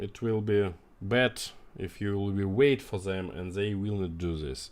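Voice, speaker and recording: Fairly low in pitch, this man speaks with ordinary pitch variation. His pace is fairly slow. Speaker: company CEO. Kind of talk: live stream Q&A. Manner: halting.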